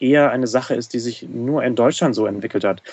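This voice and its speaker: This man has an ordinary speaking voice with medium pitch and fairly even intonation. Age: 20s. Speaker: Lego fan community organizer. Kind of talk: casual chat. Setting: studio.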